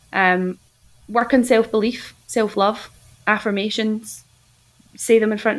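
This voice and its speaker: A woman with a Scottish accent speaks at a medium pitch in a flat, monotone delivery. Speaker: health coach. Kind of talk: casual interview.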